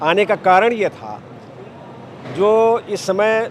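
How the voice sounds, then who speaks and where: Through clear background noise comes a man's high-pitched voice. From Uttar Pradesh, Bahraich. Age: 70s. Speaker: retired lawyer, political supporter. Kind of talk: interview answers. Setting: political rally.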